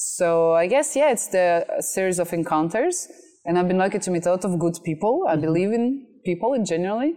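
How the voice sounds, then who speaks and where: A woman speaks at a fairly quick pace in a dark, mellow tone. Her pitch is medium for a woman, and her loudness stays very even. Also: lively intonation. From France. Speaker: MC and content creator. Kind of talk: interview. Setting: outdoors.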